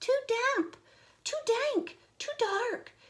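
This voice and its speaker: A woman's put-on character voice, extremely high and squeaky, with lively intonation. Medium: read story.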